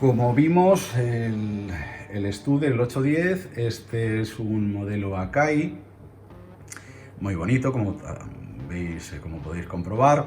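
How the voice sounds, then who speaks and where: A man with a medium pitch speaks at a very slow pace, with long, frequent pauses and very wide pitch swings. Noticeable background noise and audible room echo fill the recording. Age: 60s. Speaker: audio equipment collector. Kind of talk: equipment tour. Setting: home listening room. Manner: hesitant, with filler sounds.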